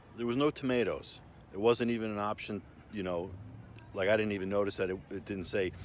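Dry with no echo and carrying light background noise, the recording has a man talking at a fairly quick pace in a fairly low voice. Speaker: restaurant reviewer. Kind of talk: casual vlog chat. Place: street. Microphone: phone near.

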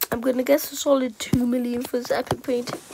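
A woman with a high-pitched voice against noticeable background noise. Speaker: gaming YouTuber. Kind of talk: casual gaming commentary to camera.

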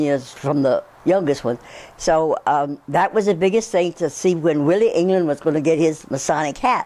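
A woman speaks with a very deep, low pitch and a dark, mellow tone. Her pitch varies in an ordinary way. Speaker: interviewee. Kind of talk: interview answer. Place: home room. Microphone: lapel.

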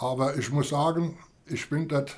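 A somewhat breathy male voice with fairly even intonation. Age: 90s. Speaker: war veteran. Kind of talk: interview. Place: home room.

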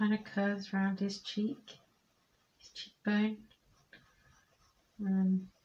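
Soft-spoken and calm in tone, a woman with a medium, somewhat breathy voice talks at a very slow pace in a monotone, flat intonation, with long, frequent pauses. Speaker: amateur artist. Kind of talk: art tutorial narration, ASMR drawing commentary. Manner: soft-spoken, calm, slow. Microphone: phone near.

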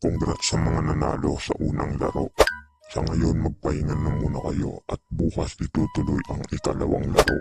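A man puts on a cartoonish character voice with a very deep, low pitch. He speaks at a moderate pace with faint music in the background. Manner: announcing, bossy.

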